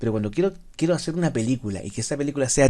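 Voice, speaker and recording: A man's dark, mellow voice sits at a medium pitch, his intonation lively. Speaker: teacher. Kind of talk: lecture. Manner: fast; slurred, drops word endings.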